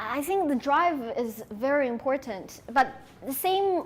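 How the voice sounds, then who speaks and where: A woman with a Sichuan accent speaks in a high pitch. Her pitch swings very widely. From China, Sichuan. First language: Sichuanese Chinese. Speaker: conference speaker. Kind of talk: audience Q&A.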